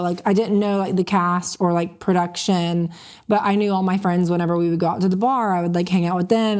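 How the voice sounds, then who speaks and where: Her voice is a normal speaking voice, with an American accent and a medium pitch. The woman talks at a fairly quick pace, her intonation fairly even. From Florida Panhandle (Panama City). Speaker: reality TV cast member. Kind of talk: interview.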